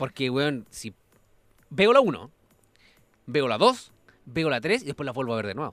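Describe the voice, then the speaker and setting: A man with a Chilean accent speaks at a moderate pace in a fairly high pitch, his intonation lively. His loudness swings widely, and he leaves long, frequent pauses. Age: 20s. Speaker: musician. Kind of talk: casual chat. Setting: studio.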